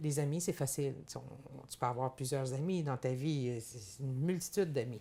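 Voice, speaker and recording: A woman speaks at a moderate pace in a very deep, low voice, somewhat breathy and dark and mellow in tone, with ordinary pitch variation and big swings in loudness. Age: 60s. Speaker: farmer and businesswoman. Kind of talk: interview. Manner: halting, many repetitions.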